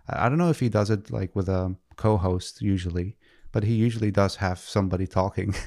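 A man speaks in a plain, everyday voice, fairly low in pitch with ordinary variation, at a fairly quick pace. His loudness stays very even, and the recording is very clean with a silent background. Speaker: podcast host, web developer. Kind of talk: casual chat. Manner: playful, joking.

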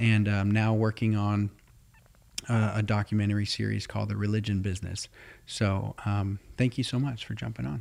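Here is an unremarkable speaking voice from a man with a fairly low pitch. He keeps fairly even intonation at a moderate pace. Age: 30s. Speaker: podcast host. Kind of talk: interview.

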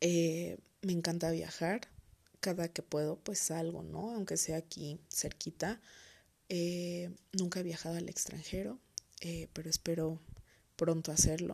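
A woman's fairly low, dark and mellow voice in a central Mexican accent, fairly slow with long, frequent pauses and fairly even intonation, over a quiet background. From Mexico, Toluca, State of Mexico. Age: 20s. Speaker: podcast host. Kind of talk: solo podcast monologue. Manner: hesitant, many fillers.

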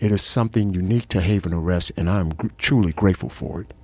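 A man with an unremarkable speaking voice talks at a fairly quick pace with a fairly low pitch and ordinary pitch variation. The sound is dry and close with no echo. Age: 60s. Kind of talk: interview testimony.

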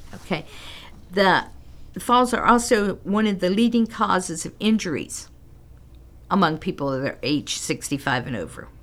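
A woman's medium-pitched voice at a moderate pace, with very wide pitch swings and long, frequent pauses. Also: very clean recording, silent background. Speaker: senior center director. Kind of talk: casual radio interview. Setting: radio studio.

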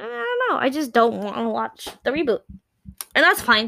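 Animated in tone, a woman talks at a fairly quick pace with a slight Puerto Rican accent. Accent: light Puerto Rican Spanish-accented English. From Puerto Rico. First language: Spanish. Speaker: podcast co-host. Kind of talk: casual chat.

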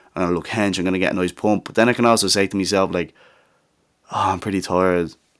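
A man with an English accent, very deep and low in pitch, flat and monotone, at a very fast pace. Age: young. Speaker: podcast host. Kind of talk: casual monologue. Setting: home studio.

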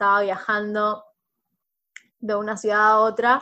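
At a fairly slow pace, a woman with a fairly high pitch speaks in an ordinary speaking voice against a quiet background. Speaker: podcast host, sociologist. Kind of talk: casual chat.

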